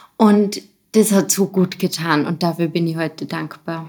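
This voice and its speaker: On a very clean recording with a silent background, an unremarkable speaking voice uses fairly even intonation. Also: woman. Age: 30s. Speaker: special education teacher. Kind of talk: casual interview.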